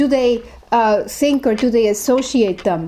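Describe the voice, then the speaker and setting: A woman's fairly high voice with a German accent at a moderate pace over noticeable background noise. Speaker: professor. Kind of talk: interview talk about research. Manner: halting, many fillers.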